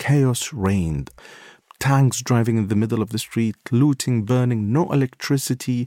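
Man with an Iraqi accent, a dark, mellow tone and medium pitch, at a moderate pace with ordinary pitch variation, on a very clean recording with a silent background. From Baghdad, Iraq. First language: Arabic. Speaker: war correspondent and photographer. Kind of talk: interview recounting stories.

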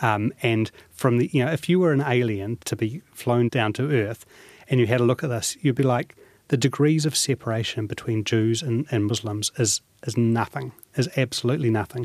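A man with a New Zealand accent talks at medium pitch and a moderate pace, with ordinary pitch variation. The sound is dry and close, without echo. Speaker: businessman. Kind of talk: interview.

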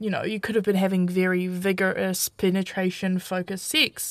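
On a very clean recording with a silent background, a woman with a New Zealand accent talks at a moderate pace and medium pitch. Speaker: aspiring sex educator. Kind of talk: live radio advice show. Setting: studio.

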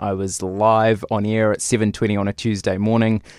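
A man with a New Zealand accent speaks at a moderate pace in a medium pitch. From New Zealand, Lower Hutt. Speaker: television reporter. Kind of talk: interview. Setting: studio.

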